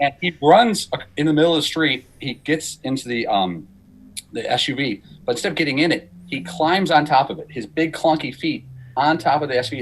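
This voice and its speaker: The speaker talks at a fairly quick pace in an American accent with lively intonation. Vocal fry runs through the voice. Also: man. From Chicago, US Midwest. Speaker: radio executive producer. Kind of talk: casual chat. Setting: studio. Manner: animated.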